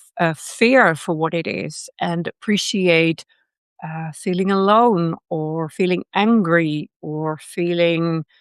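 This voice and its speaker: Against a quiet background, a woman with a Dutch accent and fairly low pitch speaks at a very slow pace in a dry, close sound with no echo. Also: ordinary pitch variation. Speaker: personal development teacher. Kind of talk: lecture. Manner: hesitant, many fillers.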